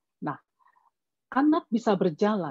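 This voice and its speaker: A woman with a Javanese accent, somewhat breathy and dark, mellow in tone, medium in pitch, with very wide pitch swings. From Java, Yogyakarta (Batak family). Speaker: parenting expert, doctor. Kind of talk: webinar talk. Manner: measured, explanatory.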